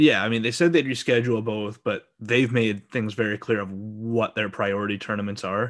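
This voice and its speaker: A man with a Western Canadian accent speaks in a fairly low voice with fairly even intonation and hardly any pauses, against a quiet background. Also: moderate pace. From Alberta, Canada. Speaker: sports podcast host. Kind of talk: casual chat.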